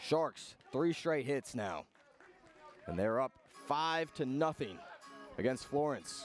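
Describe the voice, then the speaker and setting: With music in the background, a man speaks at a very slow pace. His voice is fairly high, and he takes long, frequent pauses. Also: ordinary pitch variation. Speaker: radio baseball play-by-play announcer. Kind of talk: live sports radio play-by-play commentary. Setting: outdoors at a baseball stadium broadcast booth.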